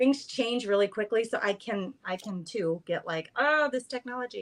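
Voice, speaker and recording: Fairly high pitch and lively intonation from a woman, a plain, everyday voice, at a moderate pace. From Boston. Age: 50s. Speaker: craft content creator. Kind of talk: casual chat. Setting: live stream.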